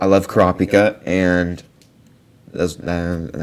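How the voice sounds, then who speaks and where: Noticeable background noise surrounds a man whose pitch is very deep and low. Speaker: author explaining own book outline. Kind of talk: casual explanatory commentary. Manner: casual, halting with fillers.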